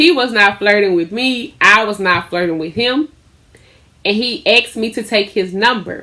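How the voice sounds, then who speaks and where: A woman talks at a fairly slow pace. Her tone is animated. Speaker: lifestyle vlogger and small business owner. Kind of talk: casual storytelling vlog. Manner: loud.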